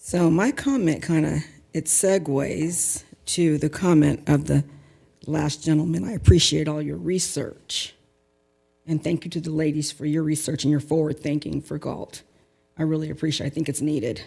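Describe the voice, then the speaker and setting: At a moderate pace, a woman speaks with a very deep, low pitch, a dark, mellow tone, vocal fry, and ordinary pitch variation. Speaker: public commenter. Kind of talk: public comment at council meeting. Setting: city council meeting.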